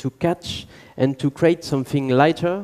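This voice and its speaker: A man with a French accent speaks at a moderate pace in a fairly high pitch, with a dark, mellow tone and ordinary pitch variation. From southern France. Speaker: violinist and engineer. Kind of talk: conference talk.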